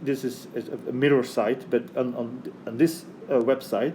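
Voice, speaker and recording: The man's voice sits at a medium pitch, and he talks at a fairly slow pace. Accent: Flemish. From Belgium (Flanders). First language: Dutch (Flemish). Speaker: math lecturer. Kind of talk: lecture. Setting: recorded video for online course. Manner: halting, many fillers and restarts.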